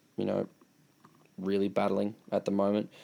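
A man with an Australian accent, very cleanly recorded against a silent background. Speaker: football podcast host. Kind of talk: casual chat.

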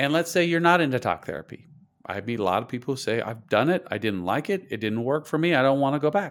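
Speech with an American accent races at a very fast pace with very wide pitch swings on a very clean recording with a silent background. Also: man, medium pitch for a man. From US, Idaho (rural). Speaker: therapist. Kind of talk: interview.

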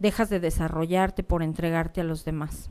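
Pitch varies in an ordinary way, and the tone is dark and mellow. The recording is very clean against a silent background. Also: woman. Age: 50s. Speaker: life coach and podcast host. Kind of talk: personal monologue. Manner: somewhat serious.

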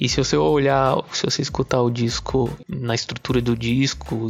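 Speech unfolds fairly slowly while noticeable background noise runs beneath it. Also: man. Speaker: journalist. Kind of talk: recorded testimonial.

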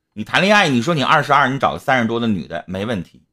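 Vocal fry runs through a man's very fast speech. His pitch rises and falls very widely. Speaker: live-stream host. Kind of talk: casual live-stream advice talk. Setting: online live stream. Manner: blunt, talkative.

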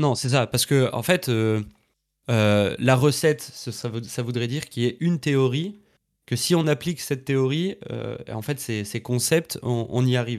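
A man speaks at medium pitch with ordinary variation, leaving long, frequent pauses. The recording is very clean, with a silent background. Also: fairly slow pace. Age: 20s. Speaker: entrepreneur and trainer for content creators. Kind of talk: casual interview. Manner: hesitant, many fillers.

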